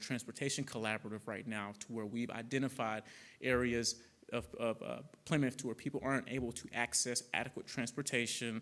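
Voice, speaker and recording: In a very clean recording with a silent background, a man with a slight Southern US accent talks at a very fast pace in a monotone, flat intonation. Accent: slight Southern twang. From Arkansas (Conway). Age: 30s. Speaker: public health director. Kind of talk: public talk with Q&A. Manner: many fillers and restarts.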